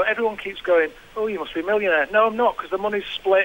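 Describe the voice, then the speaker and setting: Over light background noise, a man with a Manchester accent speaks at a high pitch. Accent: Northern English (Manchester). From England. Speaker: comedian and radio presenter. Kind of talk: casual podcast conversation. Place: studio. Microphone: studio mic.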